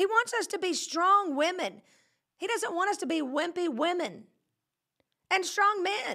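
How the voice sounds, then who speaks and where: A woman uses a raised, projected voice with an extremely high pitch, a bright, sharp tone and a Southern US accent. She speaks at a fairly slow pace with lively intonation and long, frequent pauses. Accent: Southern US, countrified. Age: 40s. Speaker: pastor and podcast host. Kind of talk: casual live-streamed sermon-style chat. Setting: studio. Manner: animated, joking.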